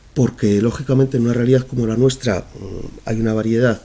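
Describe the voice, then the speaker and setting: This is a man with a plain, everyday voice. He sits at a medium pitch with ordinary pitch variation. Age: 40s. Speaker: human resources manager. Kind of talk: panel talk with Q&A. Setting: conference event, being recorded.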